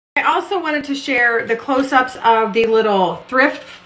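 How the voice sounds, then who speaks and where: A woman with ordinary pitch variation speaks at a moderate pace amid noticeable background noise and audible room echo. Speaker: home decor vlogger. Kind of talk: casual vlog talk. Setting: bathroom.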